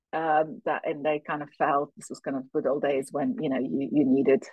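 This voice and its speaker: A woman with a British accent. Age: 50s. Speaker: finance executive and firm co-founder. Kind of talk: interview.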